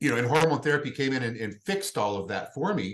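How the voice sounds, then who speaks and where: A man with an unremarkable speaking voice talks at a fairly quick pace. His medium pitch carries lively intonation. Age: 50s. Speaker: hormone therapy clinic representative. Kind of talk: casual interview chat.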